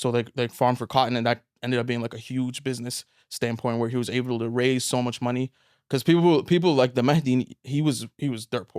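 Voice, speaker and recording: With an unremarkable speaking voice, a man speaks at a fairly quick pace in a medium pitch with fairly even intonation, recorded very cleanly against a silent background. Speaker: engineer and author. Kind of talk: casual interview.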